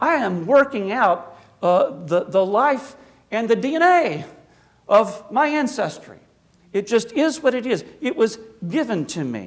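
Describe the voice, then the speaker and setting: The voice moves through very wide pitch swings. It carries an American accent. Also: man, extremely high pitch for a man. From US South, South Carolina and Appalachia. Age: 60s. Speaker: Orthodox priest, guest speaker. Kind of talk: public lecture. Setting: church hall with audience. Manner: conversational.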